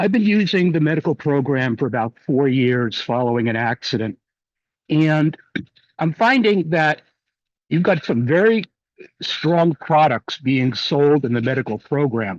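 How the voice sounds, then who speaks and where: A man's normal speaking voice, fairly high in pitch, with lively intonation, very even loudness and a fairly slow pace, the sound dry and close with no echo. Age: 60s. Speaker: medical cannabis patient commenting at public meeting. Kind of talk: public comment.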